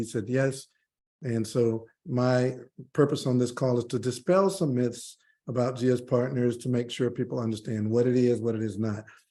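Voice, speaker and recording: At a moderate pace, a man speaks with a dark, mellow tone, medium pitch, and fairly even intonation. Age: 50s. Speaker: crypto investment promoter. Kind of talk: webinar sales pitch with screen demo. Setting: video call.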